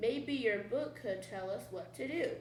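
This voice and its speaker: Using a put-on character voice, a woman speaks at a fairly slow pace with slight echo. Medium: read story.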